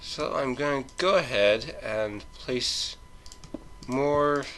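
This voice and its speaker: Noticeable background noise fills the clip. Through it, a man speaks. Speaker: gaming let's play host. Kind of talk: casual gameplay commentary. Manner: stuttering, hesitant.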